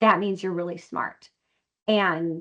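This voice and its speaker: Speaking at a medium pitch, a woman with an American accent uses ordinary pitch variation. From Wisconsin. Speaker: company CEO. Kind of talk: interview. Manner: fast.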